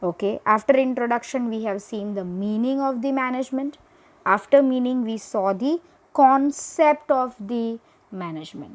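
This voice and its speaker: A high-pitched woman speaks with ordinary pitch variation and big swings in loudness. The recording is very clean, with a silent background. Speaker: teacher. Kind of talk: lecture. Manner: slow.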